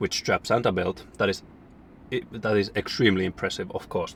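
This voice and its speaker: A man's fairly low, somewhat breathy voice with a non-native accent, at a moderate pace. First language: not English. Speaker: fitness vlogger. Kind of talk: casual vlog talk to camera. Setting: gym. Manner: halting.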